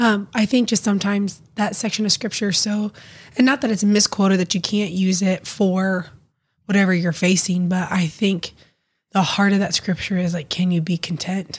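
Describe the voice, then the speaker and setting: Somewhat breathy and medium in pitch, this woman's voice moves at a moderate pace. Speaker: podcast co-host. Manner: excitable.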